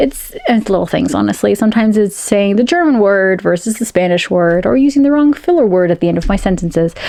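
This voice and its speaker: Amid noticeable background noise, a woman talks very fast with hardly any pauses and very even loudness. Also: medium pitch for a woman, lively intonation. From United States, Peruvian-American family. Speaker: science fiction and fantasy author. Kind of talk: casual talk to camera.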